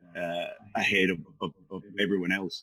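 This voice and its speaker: A man speaks with a Spanish accent. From Venezuela. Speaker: business forum participant. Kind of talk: group discussion.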